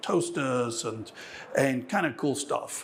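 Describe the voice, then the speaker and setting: With an English accent, a man speaks amid audible room echo. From England. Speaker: software engineer. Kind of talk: conference keynote. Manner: frequent fillers and false starts.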